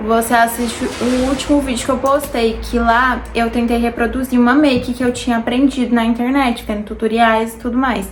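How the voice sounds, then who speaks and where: Over noticeable background noise, a high-pitched woman speaks in a monotone, flat intonation with hardly any pauses. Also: moderate pace. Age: 20s. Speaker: beauty vlogger. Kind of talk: casual chat while doing makeup. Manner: chatty, informal.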